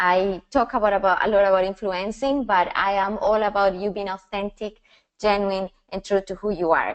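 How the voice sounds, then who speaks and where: A woman with a strong Colombian accent speaks at a medium pitch. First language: Spanish. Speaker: personal branding and style coach. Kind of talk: webinar presentation. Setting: online webinar. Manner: passionate, sometimes fast.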